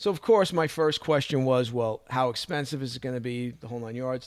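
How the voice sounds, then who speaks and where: This man speaks fairly quickly with a Brooklyn accent. His pitch is medium and varies in an ordinary way. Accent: New York (Brooklyn). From Brooklyn, New York. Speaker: martial arts instructor and podcaster. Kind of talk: casual monologue, personal story.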